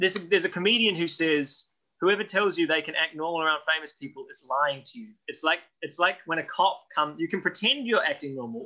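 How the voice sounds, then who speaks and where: The voice moves at a very fast pace with big swings in loudness and a bright, sharp tone. Pitch varies in an ordinary way against a quiet background. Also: man. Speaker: actor interviewee. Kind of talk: interview answer. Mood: playful, self-mocking. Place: home room. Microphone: webcam.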